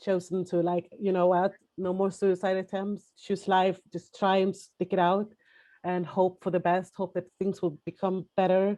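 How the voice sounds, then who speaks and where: A woman speaks fairly slowly at medium pitch in a dark, mellow tone, her intonation flat and monotone. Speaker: prostitution survivor, panelist. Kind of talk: testimony. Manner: halting, many fillers and restarts.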